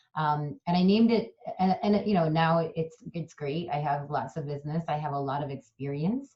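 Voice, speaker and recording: A woman's very deep, low, somewhat breathy voice with an American accent, ordinary pitch variation and hardly any pauses. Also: moderate pace. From suburban Chicago, US Midwest. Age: 40s. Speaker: professor and diversity consultant. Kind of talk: interview. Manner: halting.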